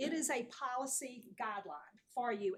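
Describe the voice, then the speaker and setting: Here a woman speaks with an American accent. Her pitch is high, with ordinary variation. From North Carolina. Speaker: planning consultant. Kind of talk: presentation. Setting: town board meeting.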